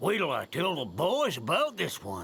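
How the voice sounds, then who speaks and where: A man puts on a character voice, raspy and high in pitch. He speaks at a moderate pace. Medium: cartoon. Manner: grumbling.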